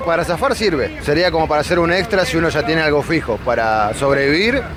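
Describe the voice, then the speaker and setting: A man with a Rioplatense accent speaks at a very fast pace, his high pitch making very wide swings. Noticeable background noise runs behind him. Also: very even loudness. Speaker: delivery app worker interviewed in the street. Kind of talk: street interview.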